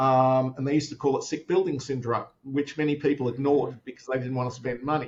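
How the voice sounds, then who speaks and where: A somewhat breathy man with an Australian accent at a medium pitch, very fast pace, monotone, flat intonation and hardly any pauses. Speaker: tech company founder. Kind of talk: interview. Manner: many fillers and repetitions.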